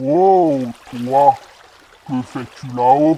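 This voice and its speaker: A man's put-on character voice, medium in pitch, with ordinary pitch variation. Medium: read story. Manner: calm, good-natured.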